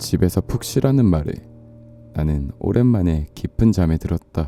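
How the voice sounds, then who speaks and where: Music plays in the background behind a man's voice. His pitch is very deep and low, yet it swings very widely. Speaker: audiobook reader. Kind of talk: story reading.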